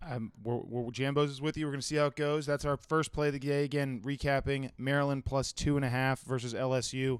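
At a fairly quick pace with hardly any pauses, a man speaks in a fairly high pitch. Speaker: sports betting podcast host. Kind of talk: casual chat. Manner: animated.

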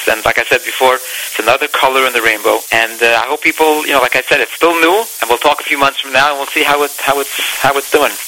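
With a fairly high pitch, a man speaks very fast as noticeable background noise continues. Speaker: singer. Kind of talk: interview.

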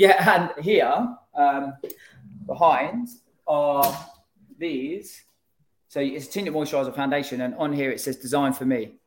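A man's fairly high voice in a London accent, fairly slow with long, frequent pauses and ordinary pitch variation. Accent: British, London-area. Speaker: brand founder. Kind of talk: casual interview chat.

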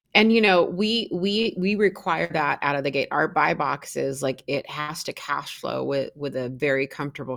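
Here a woman talks with an American accent at a moderate pace. Her pitch is very deep and low, and her intonation is lively. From US Pacific Northwest, Seattle. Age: 50s. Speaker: real estate investor and industry executive. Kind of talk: interview.

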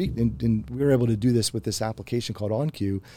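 Speaking in a Mid-Atlantic American accent, a man talks at a very fast pace with a dark, mellow tone and fairly even intonation. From rural Pennsylvania. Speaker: software solutions architect. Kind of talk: interview conversation. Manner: halting, many repeated words.

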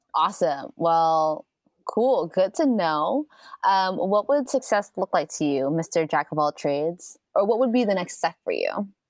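Against a quiet background, a woman with an American accent speaks at a fairly slow pace and medium pitch with very wide pitch swings, the sound dry and close with no echo. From New York (Bronx). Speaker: podcast host, photographer. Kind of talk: casual chat.

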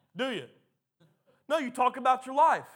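A man talks loudly at a fairly quick pace. His tone is animated. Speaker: pastor. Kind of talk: sermon. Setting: church.

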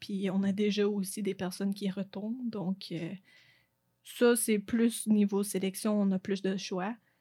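Somewhat breathy, a woman speaks at a medium pitch and a very slow pace with monotone, flat intonation. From Quebec, Eastern Townships (Lac-Brome). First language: English (speaking French). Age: 20s. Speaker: university tennis player. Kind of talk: interview.

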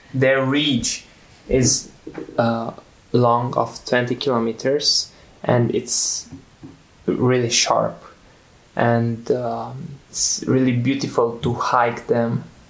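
Speaking very slowly with long, frequent pauses, a man with a Romanian accent keeps a medium pitch, a monotone, flat intonation and very even loudness over noticeable background noise. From central Romania. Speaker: lifestyle center student. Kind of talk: interview. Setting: on site at a lifestyle center. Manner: halting.

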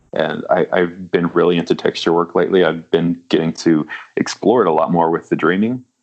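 A man talks at a fairly quick pace with very even loudness. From US South, small-town Louisiana. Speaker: comic book artist. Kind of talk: interview.

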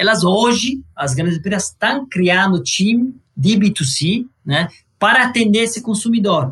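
With an Italian accent, a man talks at a fairly slow pace, his high pitch carrying lively intonation. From Italy, Sicily. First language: Italian (speaking Portuguese). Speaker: energy investment executive. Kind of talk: interview.

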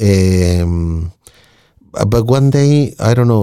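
A man with a Spanish accent, a fairly low pitch and a dark, mellow tone. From Chile. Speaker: radio technician and musician. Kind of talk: casual chat.

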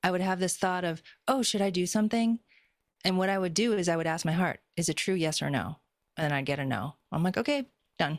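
A woman speaks in a plain, everyday voice, fairly low in pitch, with lively intonation and a fairly quick pace. Her loudness is very even, and the very clean recording has a silent background and a dry, close sound with no echo. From Boston, US. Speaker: spiritual healer. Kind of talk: casual chat.

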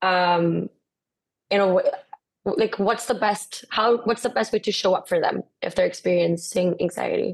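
A woman with a Spanish accent speaks at a fairly slow pace, leaving long, frequent pauses. Her loudness stays very even. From Guatemala. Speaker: podcast co-host. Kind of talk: casual interview.

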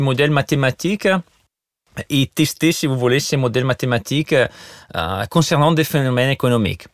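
In an Italian accent, a man talks at a fairly slow pace with a fairly high pitch and lively intonation, his voice dry and close with no echo on a very clean recording over a silent background. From Italy. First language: Italian (speaking French). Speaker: economist and university lecturer. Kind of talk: interview. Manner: hesitant, many fillers and repetitions.

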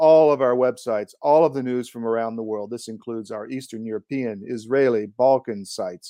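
A man with a normal speaking voice at a medium pitch, ordinary pitch variation and a fairly quick pace, in a dry, close sound with no echo and a quiet background. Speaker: podcast host. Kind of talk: interview.

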